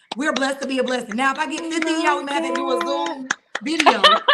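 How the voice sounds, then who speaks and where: A woman with a Southern US accent talks in an animated tone. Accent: Southern drawl. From Atlanta, Georgia. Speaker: judge. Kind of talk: podcast interview. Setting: video podcast.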